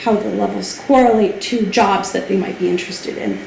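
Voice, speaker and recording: A woman with a fairly high pitch speaks amid audible room echo and noticeable background noise. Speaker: language testing company representative. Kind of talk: informational lecture. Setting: hall with audience. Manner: fast.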